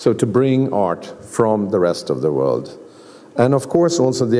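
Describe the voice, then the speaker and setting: The delivery is at a moderate pace with lively intonation. The speaker has a Swedish accent. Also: man. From Sweden. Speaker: museum director. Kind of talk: lecture. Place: hall. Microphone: podium.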